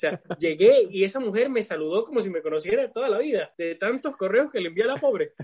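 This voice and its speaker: Speaking at a very fast pace with hardly any pauses, a man uses a high pitch. His intonation is lively. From Venezuela. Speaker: bartender. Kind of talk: casual chat. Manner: halting.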